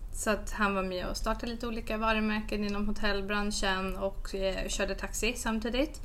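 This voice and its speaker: A woman with a fairly high pitch speaks in a monotone, flat intonation at a moderate pace with hardly any pauses, amid audible room echo and noticeable background noise. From mixed: Malmö, Canada, Australia, Stockholm. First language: English (speaking Swedish). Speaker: entrepreneur and podcaster. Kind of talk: casual interview.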